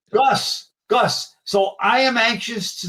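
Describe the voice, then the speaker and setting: A man speaks in a New York accent. His pace is very slow. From New York area. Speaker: collector and show host. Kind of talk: casual interview chat.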